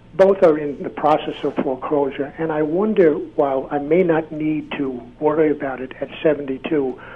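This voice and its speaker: Noticeable background noise accompanies a man speaking at a moderate pace in a fairly high pitch. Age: 70s. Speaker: caller. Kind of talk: call-in question.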